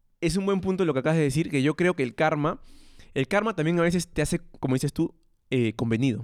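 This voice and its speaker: Very fast and fairly high-pitched, a man speaks with very even loudness and ordinary pitch variation on a very clean recording with a silent background. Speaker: podcast co-host. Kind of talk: casual chat.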